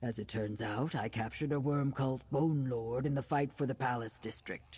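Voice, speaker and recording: Someone does a put-on character voice at a low-to-middle pitch and a moderate pace. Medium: video game. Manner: formal, measured.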